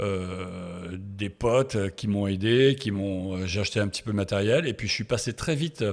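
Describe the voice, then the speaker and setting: A man talks at a moderate pace in a fairly low pitch with ordinary pitch variation. The recording is very clean, with a silent background. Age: 60s. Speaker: sports photographer. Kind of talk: interview. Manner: halting, many hesitations.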